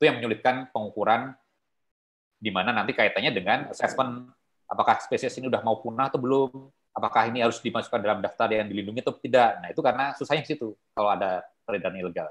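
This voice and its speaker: Over a quiet background, the speech races along at a very fast pace. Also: man, ordinary pitch variation. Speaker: wildlife trade conservation expert; guest lecturer. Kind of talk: online guest lecture. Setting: video call. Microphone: video call.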